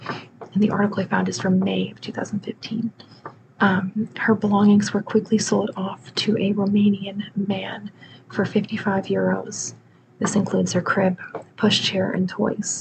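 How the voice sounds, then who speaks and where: Soft-spoken and monotone, a woman talks with flat intonation against noticeable background noise. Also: moderate pace. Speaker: true crime storyteller. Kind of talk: soft-spoken true crime narration. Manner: soft-spoken, close-mic murmur. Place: home room. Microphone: studio mic.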